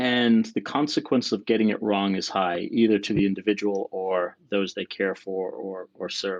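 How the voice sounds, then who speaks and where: Speaking with hardly any pauses, a man keeps his intonation fairly even. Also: fairly low pitch for a man, moderate pace. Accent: non-native. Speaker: sleep researcher. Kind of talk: interview. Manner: hesitant, fillers.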